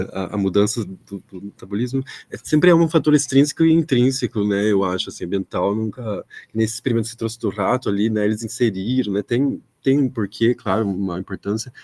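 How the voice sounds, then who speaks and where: Dark, mellow tone at a fairly quick pace, with a dry, close sound and no echo. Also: man, medium pitch for a man, ordinary pitch variation. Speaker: audience member asking a question. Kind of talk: academic Q&A question. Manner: soft-spoken; halting. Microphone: speaking without microphone, echo issues.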